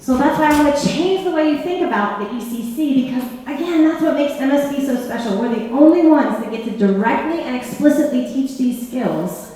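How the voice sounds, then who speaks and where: In a room with audible echo and noticeable background noise, a woman speaks fairly quickly in a high, animated voice with ordinary pitch variation. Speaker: presenter at a school for the blind. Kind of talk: workshop presentation. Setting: room with live audience and sign interpreter. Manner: fast.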